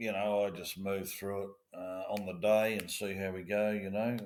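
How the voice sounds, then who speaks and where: In an Australian accent, a man with a fairly low pitch speaks at a moderate pace with fairly even intonation. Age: 60s. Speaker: former police officer. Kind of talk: interview. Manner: halting.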